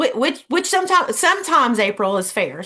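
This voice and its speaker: A woman with a Southern US accent talks at a very fast pace with ordinary pitch variation. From US South, Georgia. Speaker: Reiki practitioner. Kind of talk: workshop presentation.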